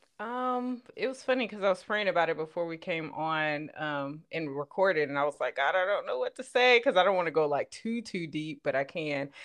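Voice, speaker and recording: A woman with a slight Southern US accent talks at a fairly quick pace with hardly any pauses, her fairly low voice making very wide pitch swings. The background is quiet. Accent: slight Southern twang. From Los Angeles, California. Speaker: podcaster. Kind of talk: casual chat.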